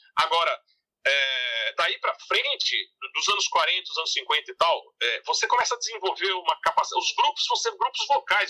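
Male speech, dry and close with no echo, delivered at a moderate pace. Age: 50s. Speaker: music researcher and author. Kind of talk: interview.

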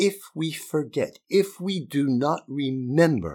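The voice carries an American accent and very wide pitch swings. It's a very clean recording with a silent background. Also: man. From Utah. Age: 60s. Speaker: podcaster and LGBTQ+ activist speaker. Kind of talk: speech read aloud to students. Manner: earnest, emphatic.

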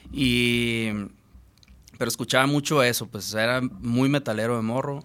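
At a fairly slow pace, a man with a medium-pitched voice speaks in fairly even intonation. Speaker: musician.

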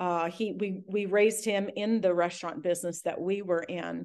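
Against a quiet background, a woman talks at a moderate pace in an animated tone at a medium pitch. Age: 50s. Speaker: podcast host interviewing guests. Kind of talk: casual interview chat.

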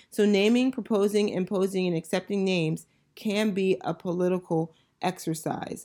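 At a moderate pace, a woman speaks at a medium pitch with a dark, mellow tone and fairly even intonation, on a very clean recording with a silent background. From Northern Virginia. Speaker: podcast host and teacher. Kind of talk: casual educational monologue.

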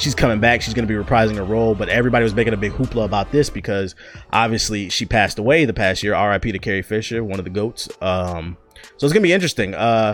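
He is a man with a medium pitch who talks at a very fast pace. His pitch varies in an ordinary way, and there is noticeable background noise. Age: 20s. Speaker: podcast host. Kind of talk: casual solo rambling podcast. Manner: animated.

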